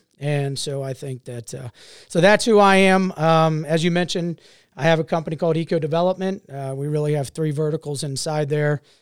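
Speaking in a normal speaking voice with an American accent, a man talks at a fairly quick pace with a fairly high pitch. His pitch varies in an ordinary way, and the recording is very clean with a silent background. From Ohio, Cincinnati area. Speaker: entrepreneur and city council member. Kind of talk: casual chat.

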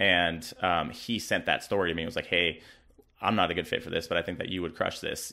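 A man talks at a fairly quick pace. His very deep, low voice holds a fairly even intonation. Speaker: bodybuilder and fitness model. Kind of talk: casual interview.

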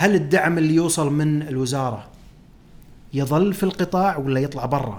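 A man talks at a moderate pace in a fairly high pitch. He has a normal speaking voice with ordinary pitch variation. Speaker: podcast host, financial analyst. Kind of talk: solo podcast commentary.

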